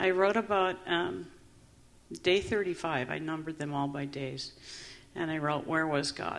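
A woman's very deep, low voice with ordinary pitch variation, at a fairly slow pace with long, frequent pauses. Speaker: trauma survivor panelist. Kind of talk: panel testimony. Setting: conference stage with audience.

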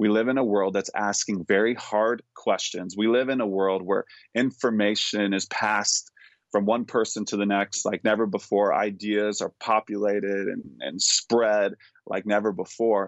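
Here a man speaks in a plain, everyday voice at a fairly low pitch. His intonation is fairly even, and his pace is moderate. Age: 30s. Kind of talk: interview.

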